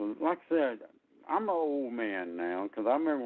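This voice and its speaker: With an American accent, the speaker moves at a moderate pace while the pitch swings very widely. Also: man. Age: 70s. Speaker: local resident at public meeting. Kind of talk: public comment Q&A.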